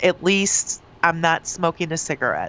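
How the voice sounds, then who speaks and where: A woman with an unremarkable speaking voice, medium pitch and a fairly slow pace. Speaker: radio host. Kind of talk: morning radio show banter.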